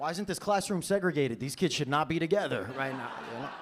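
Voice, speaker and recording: A man with a New York accent talks at a very fast pace over noticeable background noise. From New York City (Brooklyn). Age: 20s. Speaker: stand-up comedian. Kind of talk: stand-up comedy set. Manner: casual, conversational.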